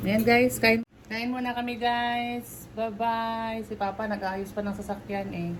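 The speaker's fairly slow delivery has monotone, flat intonation. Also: woman, fairly high pitch for a woman. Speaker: vlogger. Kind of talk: casual vlog chat. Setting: hospital room.

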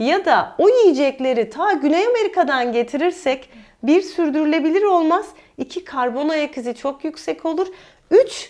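A woman speaks at a high pitch and a fairly slow pace. Her pitch swings very widely. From Mersin, southern Turkey (Çukurova). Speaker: dietitian. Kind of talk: interview conversation.

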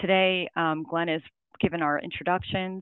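A woman's ordinary speaking voice, fairly low in pitch with fairly even intonation, dry with no echo, against a quiet background. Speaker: presenter. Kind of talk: presentation. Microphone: video call.

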